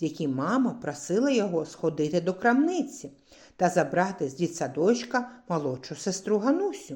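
This is someone reading aloud. The delivery is in a natural voice.

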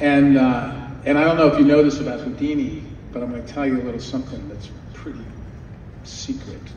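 A man speaks in a room that echoes noticeably, with faint noise behind him. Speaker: guest. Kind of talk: storytelling anecdote at a fan panel. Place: hall. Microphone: pa.

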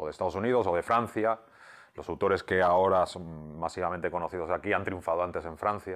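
A man's very deep, low voice at a fairly quick pace, with fairly even intonation over a quiet background. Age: 50s. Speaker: comic book writer. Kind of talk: interview. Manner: halting, many repeated words. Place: home room. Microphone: lapel.

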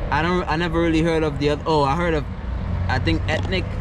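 A man's voice, dry with no echo, under loud background noise. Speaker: van life vlogger. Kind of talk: casual vlog chat. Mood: amused, upbeat. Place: car. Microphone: phone near.

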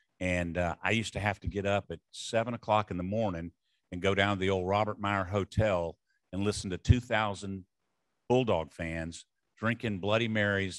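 A man with a Southern US accent talks at a moderate pace in a fairly low pitch. The recording is very clean, with a silent background and a dry, close sound with no echo. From US South. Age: 70s. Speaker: retired sports bowl executive. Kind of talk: after-dinner speech. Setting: stage with audience.

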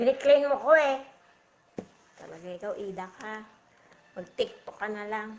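Speaking at a fairly slow pace with long, frequent pauses, a woman uses a fairly high pitch, ordinary pitch variation and big swings in loudness. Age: 40s. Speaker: vlogger. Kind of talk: casual livestream chat. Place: home room. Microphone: phone near.

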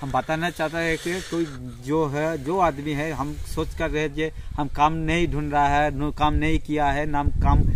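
Speaking at a fairly slow pace, a man with a fairly high pitch keeps a monotone, flat intonation, his voice dry with no echo over noticeable background noise. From West Bengal, South 24 Parganas; West Bengal. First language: Bengali (speaking Hindi). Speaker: farmer. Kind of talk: casual interview. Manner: halting. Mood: earnest, persuasive. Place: farm machine. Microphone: phone near.

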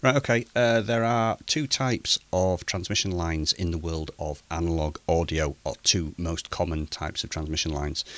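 With a very deep, low pitch and lively intonation, a man speaks at a moderate pace in a dry sound with no echo. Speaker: amateur radio hobbyist. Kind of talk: tutorial. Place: home room. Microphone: studio mic.

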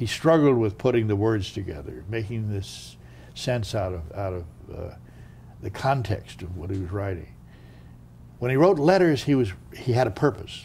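Speaking at a moderate pace with long, frequent pauses, a man uses a fairly low, dark and mellow voice that is somewhat breathy, with lively intonation. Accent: American. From United States. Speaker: former diplomat; interviewee. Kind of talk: interview. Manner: halting. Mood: reflective, storytelling. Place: home room.

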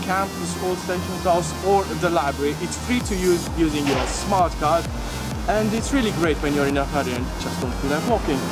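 A man speaks at a moderate pace over loud music in the background. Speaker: student ambassador tour guide. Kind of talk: casual tour commentary. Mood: cheerful, relaxed. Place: street. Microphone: phone near.

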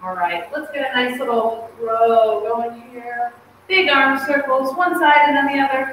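Strong room echo and light background noise surround a woman speaking at a high pitch. She goes at a fairly slow pace with ordinary pitch variation. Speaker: fitness instructor. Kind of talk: workout instruction. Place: gym. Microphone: camera far.

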